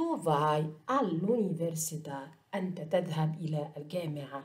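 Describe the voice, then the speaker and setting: The speaker has an Egyptian accent. The pace is fairly slow. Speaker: Italian language teacher. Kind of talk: lecture.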